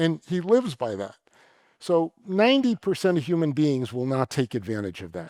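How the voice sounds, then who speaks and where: A man with a fairly high pitch speaks at a moderate pace, with very wide pitch swings and big swings in loudness. The sound is dry and close with no echo, in a very clean recording with a silent background. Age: 60s. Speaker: venture capitalist and university trustee. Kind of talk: onstage conversation.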